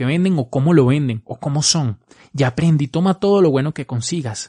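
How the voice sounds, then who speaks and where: A man's somewhat breathy, fairly high voice with a dark, mellow tone, ordinary pitch variation and a moderate pace, dry and close with no echo against a quiet background. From Venezuela. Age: 20s. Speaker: marketing podcaster. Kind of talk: solo podcast advice talk.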